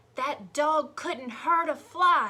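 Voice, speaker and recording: Putting on a character voice, a woman speaks at a high pitch with very wide pitch swings. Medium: read story.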